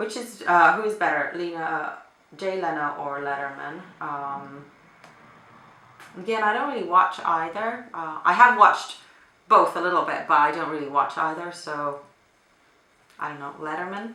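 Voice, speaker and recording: Someone with a Finnish accent speaks with lively intonation, big swings in loudness, and long, frequent pauses. There is noticeable background noise and audible room echo. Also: woman, moderate pace. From Finland. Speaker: beauty vlogger. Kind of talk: casual chat. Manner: hesitant with fillers.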